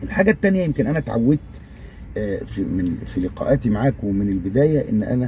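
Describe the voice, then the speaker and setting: A man with an Egyptian accent, amid noticeable background noise. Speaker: YouTuber. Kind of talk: casual video monologue. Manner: halting, many fillers.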